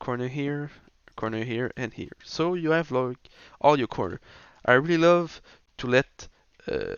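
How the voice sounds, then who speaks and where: With a French accent, a man with a fairly high pitch talks at a moderate pace, using ordinary pitch variation and long, frequent pauses. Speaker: video game tutorial creator. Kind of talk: tutorial. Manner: halting, many fillers and restarts.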